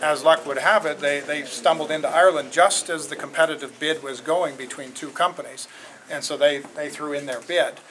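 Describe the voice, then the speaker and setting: A man speaks at a fairly quick pace with fairly high pitch and fairly even intonation. His loudness swings widely over noticeable background noise. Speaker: company executive. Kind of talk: public Q&A. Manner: halting.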